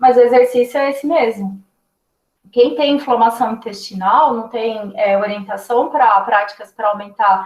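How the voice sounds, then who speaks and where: This woman has a normal speaking voice, fairly high in pitch with ordinary pitch variation. She talks at a fairly slow pace. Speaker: nutritionist. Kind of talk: lecture.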